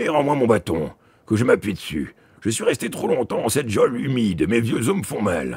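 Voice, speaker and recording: Using a put-on character voice at a medium pitch, a man talks at a moderate pace. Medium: read story. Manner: gruff, brusque.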